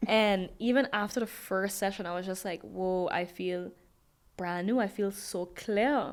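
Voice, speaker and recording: With a strong Sint Maarten accent, a woman speaks at a medium pitch and a fairly slow pace, her intonation fairly even, in a very clean recording with a silent background. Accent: Sint Maarten Caribbean accent, kept strong. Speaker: DJ and dancer. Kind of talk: interview.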